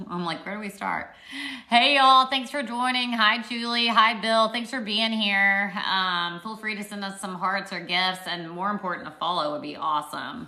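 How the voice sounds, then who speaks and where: In an American accent, a woman speaks at medium pitch with ordinary pitch variation and big swings in loudness, with audible room echo around her. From Arkansas, US South. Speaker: social media livestreamer, PhD student. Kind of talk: casual livestream Q&A. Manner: animated.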